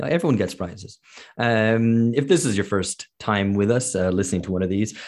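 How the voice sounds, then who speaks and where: Against a quiet background, a plain, everyday voice goes at a moderate pace with ordinary pitch variation. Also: man. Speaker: podcast host. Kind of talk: casual podcast chat answering listener questions. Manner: rambling, filler-heavy, bantering.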